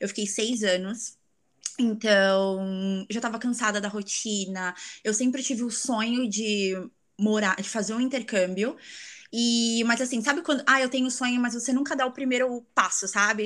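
Fairly high in pitch, a woman talks at a moderate pace in a plain, everyday voice with ordinary pitch variation. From Brazil, São Paulo city. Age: 20s. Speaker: exchange traveler, tourism graduate. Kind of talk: casual interview chat.

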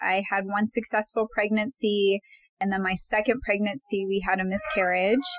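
There is noticeable background noise. Over it, a woman speaks at a medium pitch. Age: 40s. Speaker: licensed counselor and podcast co-host. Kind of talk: casual panel discussion.

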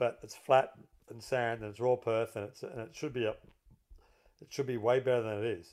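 With an Australian accent, a man speaks at a moderate pace and medium pitch. His intonation is fairly even, yet his loudness swings widely. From Melbourne, Australia. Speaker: golf course architect and former pro golfer. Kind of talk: casual chat.

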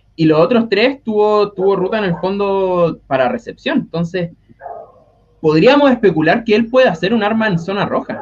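A man with a Chilean accent talks at a moderate pace. His voice makes very wide pitch swings. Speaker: NFL fan panelist. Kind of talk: casual chat.

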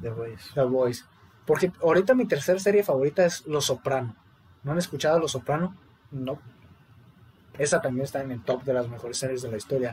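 His intonation is lively. The man keeps to a moderate pace. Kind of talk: casual chat.

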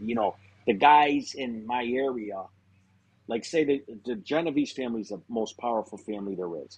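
A man talks with a western Massachusetts accent at a medium pitch. His pace is moderate and his pitch varies in an ordinary way. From Springfield, Massachusetts. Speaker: former mobster. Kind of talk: casual interview.

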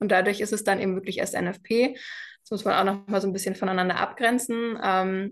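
Talking fairly quickly, a woman keeps a monotone, flat intonation. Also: medium pitch for a woman. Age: 20s. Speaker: cycle health mentor. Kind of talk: interview.

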